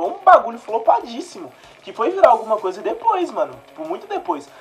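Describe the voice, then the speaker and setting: Noticeable background noise sits under speech that runs at a fairly quick pace. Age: 20s. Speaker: podcast host. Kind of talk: casual chat.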